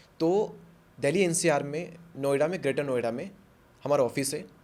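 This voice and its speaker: A man with a plain, everyday voice speaks at a moderate pace, his fairly high pitch showing ordinary variation. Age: 20s. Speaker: YouTuber and motivational speaker. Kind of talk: podcast interview.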